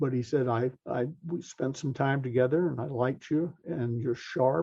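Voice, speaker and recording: A man talks at a medium pitch with an American accent and ordinary pitch variation. His voice is somewhat breathy. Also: moderate pace. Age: 70s. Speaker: sales author and trainer. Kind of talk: interview storytelling.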